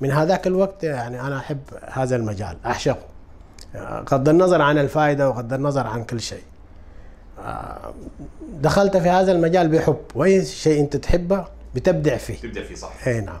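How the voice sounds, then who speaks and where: With lively intonation and big swings in loudness, a man talks at a moderate pace. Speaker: guest. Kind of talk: interview answer. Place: studio. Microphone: lapel.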